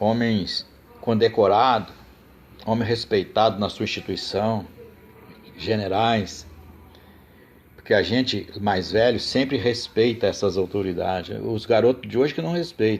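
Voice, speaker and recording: With long, frequent pauses, a man speaks at a fairly slow pace and medium pitch, his pitch varying in an ordinary way. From Brazil, Rio de Janeiro state countryside. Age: 60s. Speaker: political commentator. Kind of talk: live stream monologue. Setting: live stream. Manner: impassioned, emphatic.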